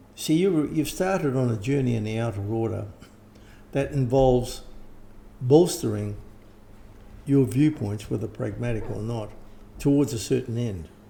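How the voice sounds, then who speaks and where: A man with an Australian accent, medium-pitched and somewhat breathy with a dark, mellow tone, lively intonation and a moderate pace broken by long, frequent pauses, in a room with audible echo. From Australia or New Zealand. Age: 70s. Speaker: occult teacher and author. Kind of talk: interview. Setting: at home. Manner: halting, with false starts.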